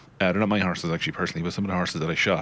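Here a man talks with fairly even intonation. His tone is bright and sharp. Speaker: radio host. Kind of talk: live radio show chat. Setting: studio.

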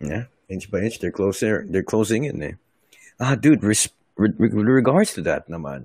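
A man with vocal fry speaks with lively intonation. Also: fairly low pitch for a man, moderate pace. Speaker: podcast co-host. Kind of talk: casual chat. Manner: animated.

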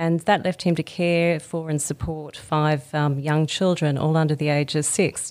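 A woman's very deep, low voice in an Australian accent, at a moderate pace with hardly any pauses and fairly even intonation, on a very clean recording with a silent background. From Australia (Sydney, Melbourne, Brisbane). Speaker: head of research at a youth helpline charity. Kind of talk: interview.

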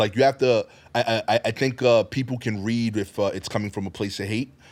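Talking at a fairly quick pace, a man speaks with a Brooklyn accent. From Brooklyn, New York (East New York). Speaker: comedian. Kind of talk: casual chat.

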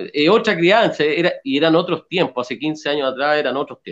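Over a quiet background, a man talks fairly quickly in an unremarkable speaking voice. His pitch is fairly high with fairly even intonation. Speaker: regional party president. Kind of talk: casual chat.

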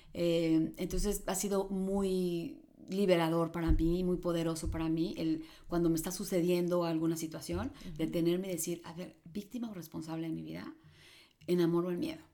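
A dark, mellow tone moves at a moderate pace with fairly even intonation. Its loudness swings widely, and audible room echo surrounds it. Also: woman, fairly low pitch for a woman. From Mexico City and Chihuahua, Mexico. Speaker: psychologist and life coach. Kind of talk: casual interview.

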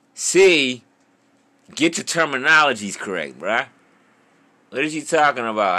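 Against a quiet background, the voice sounds animated, with a bright, sharp tone. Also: man. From US inner city. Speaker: podcast host and rapper. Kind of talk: casual storytelling monologue.

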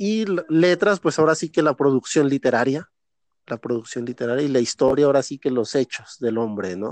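A man speaks at a fairly high pitch and a fairly quick pace. His intonation is lively. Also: dry, close sound with no echo. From Mexico, Zacatecas. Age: 30s. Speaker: historian. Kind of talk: casual interview.

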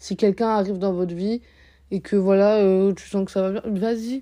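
A woman's medium-pitched voice, dark and mellow, monotone and flat at a moderate pace. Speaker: podcast host. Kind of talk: casual monologue. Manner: hesitant, many fillers.

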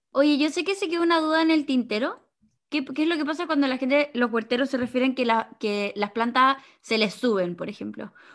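Speaking with a Chilean accent, a woman uses a high pitch and lively intonation at a fairly quick pace. The background is quiet. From southern Chile (Chiloé). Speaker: podcast co-host. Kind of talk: casual chat.

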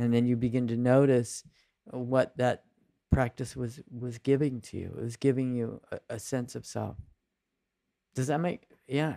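A man speaks at a moderate pace in a dark, mellow tone. His intonation is monotone and flat, and the sound is dry and close with no echo. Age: 60s. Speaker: spiritual coach and mindfulness teacher. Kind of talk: casual chat.

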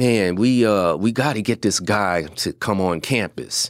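A man with a Louisiana accent, fairly low-pitched, lively intonation, fairly slow pace, dry close sound without echo, and a very clean recording over a silent background. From Louisiana (Ville Platte), US South; military childhood. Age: 40s. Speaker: motivational speaker, former educator. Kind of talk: interview, personal story.

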